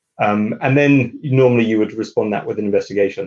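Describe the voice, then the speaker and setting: Speaking with a British accent, a man talks fairly quickly at a medium pitch. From UK. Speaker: lawyer. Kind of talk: interview. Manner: halting, many fillers.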